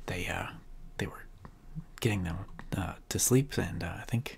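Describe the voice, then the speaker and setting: A man whispers at a moderate pace. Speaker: gaming let's play host. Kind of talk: gameplay commentary. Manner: halting.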